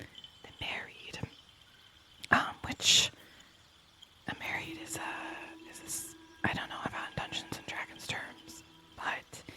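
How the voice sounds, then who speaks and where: A woman whispers at a very slow pace, leaving long, frequent pauses, with big swings in loudness. Background noise is noticeable. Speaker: ASMR creator. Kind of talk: whispered ASMR gameplay commentary. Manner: whispered, soft.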